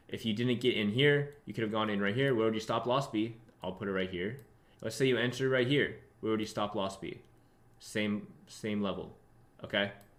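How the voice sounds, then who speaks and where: Heard with audible room echo, a man speaks at a medium pitch in an animated tone. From born in Russia, grew up in London, New York and Texas. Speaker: trading educator. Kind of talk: live trading tutorial stream. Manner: fast; casual, animated.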